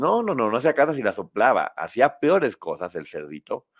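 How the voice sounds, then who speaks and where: There is vocal fry as a man speaks in an animated tone. The recording is very clean with a silent background, and the sound is dry and close with no echo. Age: 50s. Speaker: online show host. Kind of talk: casual chat.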